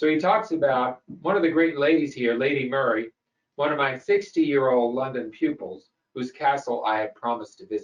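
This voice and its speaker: A man has an unremarkable speaking voice, moving at a moderate pace with ordinary pitch variation. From US South (Memphis, Tennessee). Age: 60s. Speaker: host. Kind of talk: lecture.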